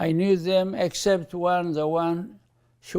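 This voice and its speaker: The man's pitch sits fairly high with fairly even intonation. His tone is dark and mellow. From Eritrea. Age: 90s. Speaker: bishop. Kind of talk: interview.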